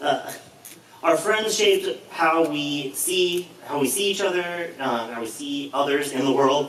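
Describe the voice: With audible room echo, a man speaks at a fairly slow pace, his pitch fairly high and his tone fairly bright, with ordinary pitch variation.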